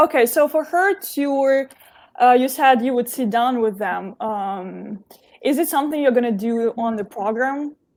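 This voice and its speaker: Recorded very cleanly against a silent background, a woman with a non-native accent and a high pitch speaks at a fairly slow pace with lively intonation. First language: not English. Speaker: live stream host. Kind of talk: interview.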